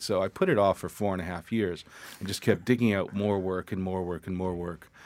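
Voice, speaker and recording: A man's plain, everyday voice, fairly low in pitch and fairly quick in pace, on a very clean recording over a silent background. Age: 50s. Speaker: photographer. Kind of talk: casual interview chat. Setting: studio.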